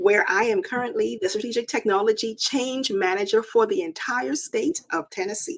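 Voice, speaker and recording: The voice swings very widely in pitch, with a slight Bahamian accent. It moves at a moderate pace with hardly any pauses. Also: woman, fairly high pitch for a woman. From Bahamas, Nassau. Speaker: technology manager with a doctorate. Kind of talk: talk show interview.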